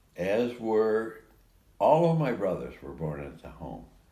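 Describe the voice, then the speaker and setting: A man's very slow, fairly low-pitched voice with a dark, mellow tone and very wide pitch swings, set in audible room echo. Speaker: interviewee recounting life story. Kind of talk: casual chat. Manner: halting.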